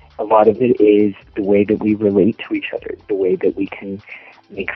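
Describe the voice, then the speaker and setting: A man with an American accent speaks at a moderate pace. Noticeable background noise is present. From US South, Texas-Mexico border town. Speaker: adult film performer. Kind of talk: interview. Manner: hesitant, many fillers.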